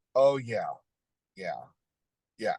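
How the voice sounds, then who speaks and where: A man with a Southern US accent speaks in a dry, close sound with no echo. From Tennessee, near Nashville. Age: 60s. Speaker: Elvis fan. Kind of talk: interview. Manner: halting, many fillers.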